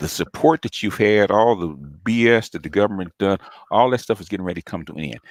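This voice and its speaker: A man talks at a fairly quick pace with lively intonation, an animated tone and some vocal fry. The sound is dry and close with no echo, on a very clean recording with a silent background. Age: 60s. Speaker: YouTube commentator. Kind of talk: livestream monologue.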